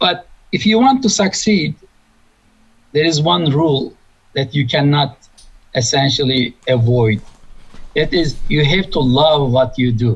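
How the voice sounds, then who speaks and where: Speaking at a fairly slow pace with long, frequent pauses, a man with a Turkish accent uses a fairly high, somewhat breathy voice at very even loudness. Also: lively intonation. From Turkey. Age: 60s. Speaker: engineering professor. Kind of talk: interview.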